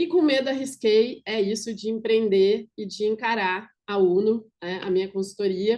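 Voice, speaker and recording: Speaking at a fairly slow pace with hardly any pauses, a woman has a dark, mellow tone and ordinary pitch variation. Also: fairly high pitch for a woman. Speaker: business consultant. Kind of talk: online workshop presentation.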